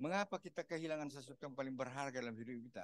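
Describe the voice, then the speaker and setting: The sound is dry and close, with no echo. A man speaks at a fairly high pitch. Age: 70s. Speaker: pastor. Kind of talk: sermon. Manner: animated, repetitive.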